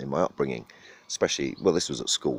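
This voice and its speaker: Recorded dry and close with no echo, a man speaks with a southern English accent. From southern England. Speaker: vlogger. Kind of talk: casual monologue. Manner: halting, many fillers.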